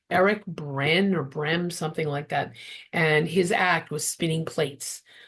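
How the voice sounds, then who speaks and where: A woman speaks at a fairly slow pace with a fairly low pitch and a somewhat breathy voice. Her intonation stays fairly even over a quiet background. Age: 60s. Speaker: therapist and interfaith minister. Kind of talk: interview testimony.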